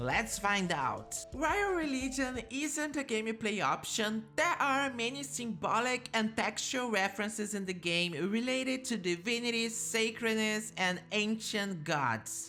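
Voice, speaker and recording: A woman with a non-native accent speaks at a fairly slow pace with hardly any pauses, her fairly high voice carrying lively intonation. Her loudness stays very even, and there is noticeable background noise. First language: not English. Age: 20s. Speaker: gaming YouTuber. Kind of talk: scripted video narration.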